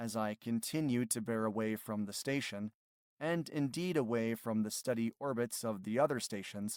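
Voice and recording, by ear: Quiet background behind someone reading aloud in a natural voice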